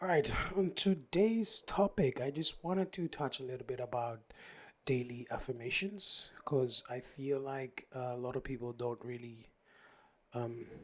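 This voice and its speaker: Soft-spoken and lively in intonation, a man talks at a medium pitch and a fairly slow pace, with big swings in loudness. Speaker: podcaster. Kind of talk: casual solo talk.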